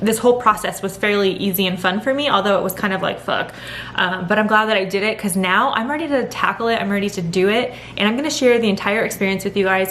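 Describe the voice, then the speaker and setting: Noticeable background noise sits behind a woman talking at a very fast pace with ordinary pitch variation. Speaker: vlogger. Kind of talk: casual chat. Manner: animated.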